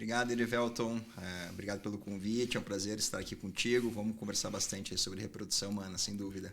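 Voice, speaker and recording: A man with a southern Brazilian accent speaks at a very fast pace with hardly any pauses, using a fairly low pitch and monotone, flat intonation. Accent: southern Brazilian (gaúcho). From southern Brazil, Porto Alegre. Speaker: urologist, fertility doctor. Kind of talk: interview conversation.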